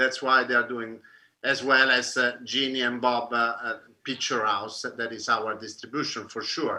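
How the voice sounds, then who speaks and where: A man with an Italian accent speaks in a bright, sharp tone with monotone, flat intonation. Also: medium pitch for a man, moderate pace. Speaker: film director. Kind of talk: panel discussion. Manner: halting.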